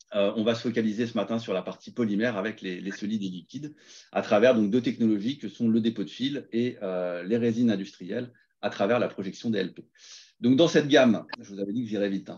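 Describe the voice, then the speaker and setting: A man's medium-pitched voice with ordinary pitch variation, against a quiet background. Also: fairly quick pace, big swings in loudness. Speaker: sales presenter. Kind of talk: webinar presentation. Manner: fast; hesitant, many fillers.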